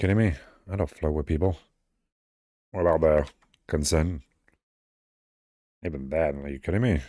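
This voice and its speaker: With long, frequent pauses between fairly quick stretches, a man speaks in a very deep, low pitch with ordinary variation and a dark, mellow tone. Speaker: VTuber artist streamer. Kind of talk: casual livestream chat while drawing. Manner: casual, meandering.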